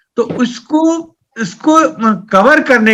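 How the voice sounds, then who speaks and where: The speaker is a man with a Bihar accent. His pitch is extremely high. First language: Maithili (speaking Hindi). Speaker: poet and writer. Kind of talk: interview. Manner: halting.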